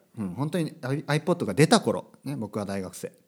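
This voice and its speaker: Vocal fry runs through this man's voice. His pitch moves in very wide swings. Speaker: podcast host, language teacher. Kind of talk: casual monologue podcast.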